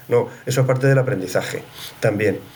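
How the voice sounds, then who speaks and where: The speech comes at a very fast pace with audible room echo. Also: man. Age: 60s. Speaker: HR executive and psychologist. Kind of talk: casual interview conversation.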